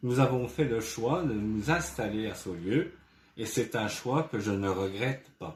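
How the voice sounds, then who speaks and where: At a very slow pace, a man with a medium pitch speaks with lively intonation and a somewhat breathy sound. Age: 60s. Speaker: retired ambulance driver, local election candidate. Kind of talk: campaign presentation statement. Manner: formal, prepared.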